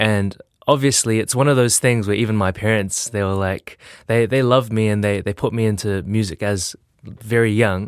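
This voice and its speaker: With a New Zealand accent, a man talks at a moderate pace in a fairly low pitch with fairly even intonation, and the recording is very clean with a silent background. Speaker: music producer and teacher. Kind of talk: interview. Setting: studio.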